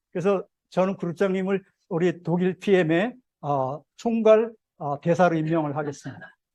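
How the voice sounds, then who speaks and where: In a dry, close sound with no echo, a man with a high pitch and a dark, mellow tone speaks with ordinary pitch variation. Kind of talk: sales seminar lecture. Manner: animated.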